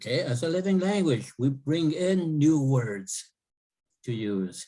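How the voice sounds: The voice has a dark, mellow tone and lively intonation at a fairly slow pace. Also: man, fairly high pitch for a man.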